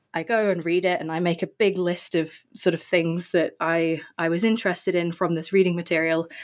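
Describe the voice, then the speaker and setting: With an English accent, a woman speaks at a moderate pace and fairly low pitch, in a very clean recording with a silent background. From England. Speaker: author and researcher. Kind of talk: interview. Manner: hesitant with fillers.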